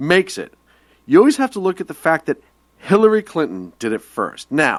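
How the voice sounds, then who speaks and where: In a Boston accent, a man with a high pitch talks at a moderate pace, his pitch swinging very widely and his loudness shifting greatly, in a dry, close sound with no echo. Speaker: radio show co-host. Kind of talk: casual political discussion. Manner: animated.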